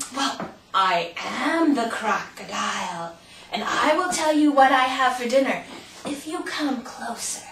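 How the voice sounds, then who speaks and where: A put-on character voice, female-sounding and high-pitched, moves at a fairly slow pace. Slight echo is audible. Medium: read story. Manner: sly, coaxing.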